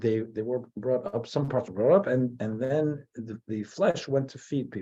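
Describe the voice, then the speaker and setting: In an American accent, a man with a medium-pitched voice and a dark, mellow tone talks at a fairly slow pace. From US, New Jersey. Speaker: rabbi. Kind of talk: lecture. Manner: halting.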